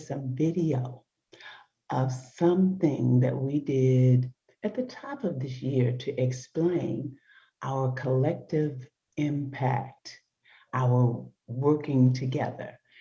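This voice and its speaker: Soft-spoken and somewhat breathy, this woman has a very deep, low pitch and a dark, mellow tone, speaking at a very slow pace with long, frequent pauses. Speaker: talk show host. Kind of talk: casual chat. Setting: video call from home. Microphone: poor internet connection.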